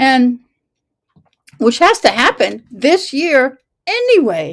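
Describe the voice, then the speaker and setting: Very wide pitch swings and an animated tone. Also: woman. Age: 60s. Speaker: local civic commentator. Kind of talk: casual commentary.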